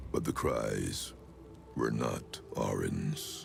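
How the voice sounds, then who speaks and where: Clear background noise sits behind a man doing a put-on character voice. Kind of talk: dark fantasy villain. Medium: video game. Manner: grandiose, menacing.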